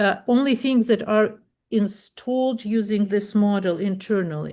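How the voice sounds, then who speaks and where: A woman with a non-native accent, fairly high-pitched and very slow, with ordinary pitch variation against a quiet background. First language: not English. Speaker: web developer. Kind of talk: tutorial. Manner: halting.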